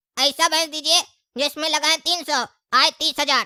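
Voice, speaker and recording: A high-pitched, cartoonish character voice. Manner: cheeky, talkative.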